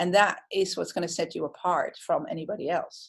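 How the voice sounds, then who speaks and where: A woman speaks with a Dutch accent. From Netherlands. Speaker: hairdresser and creative director. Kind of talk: interview. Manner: direct.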